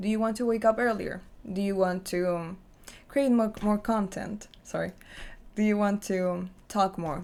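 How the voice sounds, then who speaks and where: Speaking at a moderate pace, a woman with a non-native accent has a medium pitch. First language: not English. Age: 20s. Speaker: lifestyle vlogger. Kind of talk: personal vlog monologue.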